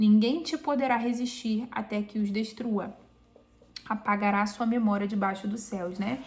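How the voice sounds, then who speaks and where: A woman talks in an unremarkable speaking voice, fairly high in pitch, with ordinary pitch variation at a moderate pace. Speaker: Bible reading YouTuber. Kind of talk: Bible reading aloud with commentary. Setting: home, recorded or live video.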